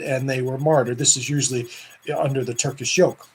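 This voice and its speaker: A man speaks in a somewhat breathy voice. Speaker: Orthodox priest. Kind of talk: casual video talk. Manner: fast; animated.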